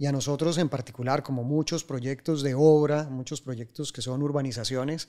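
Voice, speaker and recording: Speaking at a moderate pace, a man with a Colombian accent talks at a fairly high pitch. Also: quiet background. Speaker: civil engineer, project director; guest. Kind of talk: interview. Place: studio. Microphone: studio mic.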